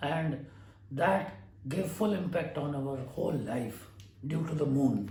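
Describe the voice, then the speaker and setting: A man talks with an Indian accent. Audible room echo and noticeable background noise surround him. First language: Hindi. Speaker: astrologer. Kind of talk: lecture. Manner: halting.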